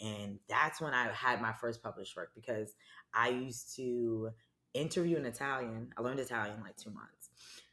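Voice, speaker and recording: With a strong New York accent, a woman speaks at a moderate pace in a very deep, low pitch, with a bright, sharp tone, ordinary pitch variation and big swings in loudness. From New York City (Harlem), US. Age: 30s. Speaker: branding and marketing professional. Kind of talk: casual chat.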